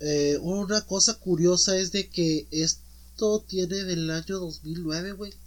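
Speaking very slowly with hardly any pauses, a man with a high-pitched voice and a Mexican accent keeps his intonation fairly even. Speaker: podcast host. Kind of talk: casual chat.

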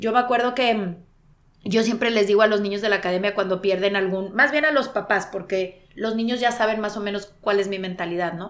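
An ordinary speaking voice from a woman, medium in pitch, fairly quick, with fairly even intonation. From Monterrey, Mexico. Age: 40s. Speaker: sports broadcaster. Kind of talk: interview conversation.

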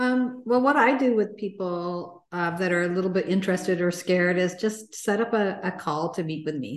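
A woman with an ordinary speaking voice talks at a moderate pace, her medium pitch showing ordinary variation. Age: 60s. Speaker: success and mindset coach. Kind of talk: casual interview.

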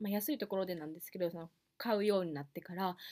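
In a Kansai accent, a woman speaks at a fairly quick pace. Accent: Kansai Japanese. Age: 20s. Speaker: podcast host. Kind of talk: casual solo podcast talk.

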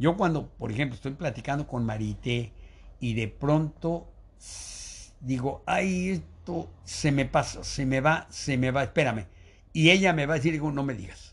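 With vocal fry and lively intonation, a man speaks at a fairly slow pace and a fairly high pitch. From Mexico City. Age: 80s. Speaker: retired biologist, teacher and school founder. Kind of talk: casual interview, life story.

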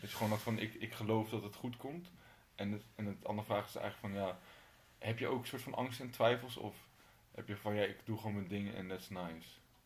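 A man talks at a fairly quick pace, somewhat breathy, with ordinary pitch variation. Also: fairly low pitch for a man. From Utrecht, Netherlands. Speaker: podcast host. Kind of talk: casual interview chat. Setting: in the guest's home.

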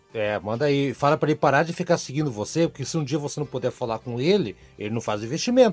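Music plays in the background as a man with a fairly high pitch talks at a very fast pace with hardly any pauses and lively intonation. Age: 40s. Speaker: podcast host, journalist. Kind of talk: casual panel discussion about investments.

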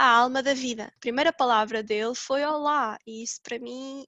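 In a dry, close recording with no echo, a woman speaks with a bright, sharp tone. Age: 20s. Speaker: podcast co-host, mother. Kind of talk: casual chat.

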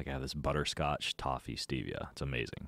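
A man speaks with an American accent and audible vocal fry. The recording is very clean, with a silent background. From Idaho, US. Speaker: fitness coach and author. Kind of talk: casual chat. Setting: studio.

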